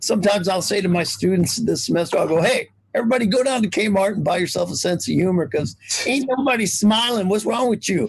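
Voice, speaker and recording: Over noticeable background noise, a man with a high pitch talks very fast, his animated tone and lively intonation carried at a very even loudness. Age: 60s. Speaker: college English professor. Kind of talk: casual interview chat.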